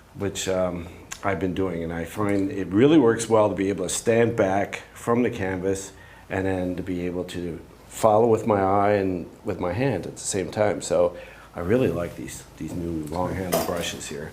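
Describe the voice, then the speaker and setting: The speaker uses ordinary pitch variation at a moderate pace, with audible room echo and noticeable background noise. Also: man, very deep, low pitch for a man. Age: 60s. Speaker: painter demonstrating in a workshop. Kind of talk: live painting demonstration. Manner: halting, with frequent fillers.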